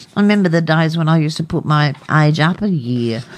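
Lively intonation marks this Australian accent, with noticeable background noise behind it. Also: woman. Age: 60s. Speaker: radio co-host. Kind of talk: casual radio talk show.

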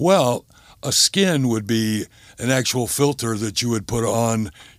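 Recorded very cleanly against a silent background, a man has an ordinary speaking voice with a medium pitch and lively intonation. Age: 60s. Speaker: gambling addiction counselor. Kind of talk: interview.

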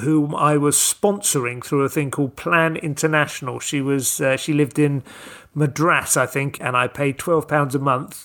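This man talks in a normal speaking voice, fairly high-pitched for a man, with ordinary pitch variation. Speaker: stand-up comedian and writer. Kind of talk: interview, casual chat.

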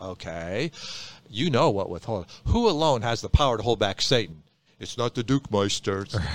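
A man with a fairly low pitch and a normal speaking voice talks with lively intonation on a very clean recording with a silent background. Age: 60s. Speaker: pastor. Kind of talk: casual chat.

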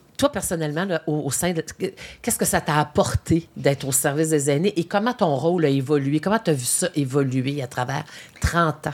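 Here a woman speaks at a fairly quick pace. Her pitch is very deep and low, with ordinary variation. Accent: Quebec. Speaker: podcast host. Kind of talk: interview. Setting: studio.

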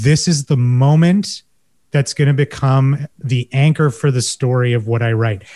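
Speaking with a Canadian accent at a fairly slow pace, a man has a medium pitch, ordinary pitch variation, a dark, mellow tone, a somewhat breathy quality, and very even loudness, in a dry, close sound with no echo. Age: 40s. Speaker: marketing professional and essay writer. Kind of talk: panel discussion.

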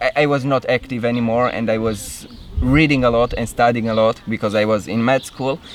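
Against noticeable background noise, a man with a Romanian accent talks at a fairly quick pace and medium pitch, with fairly even intonation. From Romania, Cluj-Napoca. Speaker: movement coach. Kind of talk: interview.

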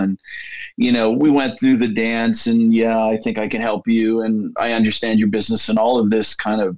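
This man speaks at medium pitch and a moderate pace, his intonation monotone and flat. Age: 50s. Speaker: tech company CEO. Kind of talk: interview conversation.

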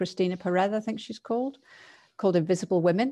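Against a quiet background, a woman speaks at a medium pitch with a dark, mellow tone. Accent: English. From England. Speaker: learning and neuroscience consultant. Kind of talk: casual chat.

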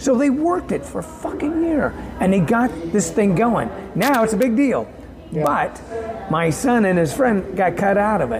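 With music in the background, the voice moves at a moderate pace. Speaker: independent songwriter and musician. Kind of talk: casual interview chat. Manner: relaxed, conversational.

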